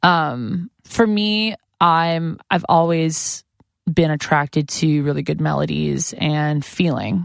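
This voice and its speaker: A woman with a very deep, low pitch speaks at a very slow pace with ordinary pitch variation. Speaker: musician in a band. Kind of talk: casual chat. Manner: loud; animated.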